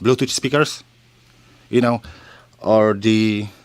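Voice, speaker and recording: With a Polish accent, a man speaks at a moderate pace and fairly even intonation. The recording is very clean, with a silent background. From Poland. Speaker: shop owner. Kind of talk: casual interview.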